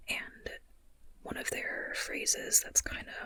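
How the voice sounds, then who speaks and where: A whisper against noticeable background noise. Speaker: ASMR creator and writer. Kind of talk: ASMR whispered chatty talk to camera. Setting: low-budget, as if lying in bed talking. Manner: whispering, chatty, rambling.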